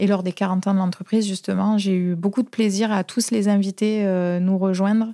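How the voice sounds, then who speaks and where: Her pitch is medium for a woman, her loudness very even and her intonation flat and monotone. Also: moderate pace, hardly any pauses, dry, close sound with no echo. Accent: southern French. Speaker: plumbing and heating company manager. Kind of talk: interview answer.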